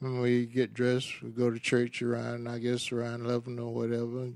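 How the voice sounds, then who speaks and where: A man at a medium pitch and moderate pace. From US South, Macon, Georgia. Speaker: interviewee father. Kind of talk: casual chat.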